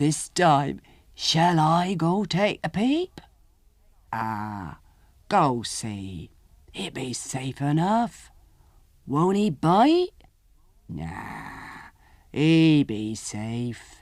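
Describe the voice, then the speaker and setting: A man uses a put-on character voice in a fairly high pitch. He speaks very slowly, with long, frequent pauses. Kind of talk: country folk tale reading. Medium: read story. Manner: rustic dialect, folksy grammar.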